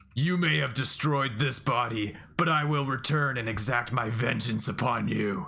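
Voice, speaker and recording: A man's booming, put-on character voice at a medium pitch, with ordinary pitch variation, a moderate pace and light background noise. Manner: threatening.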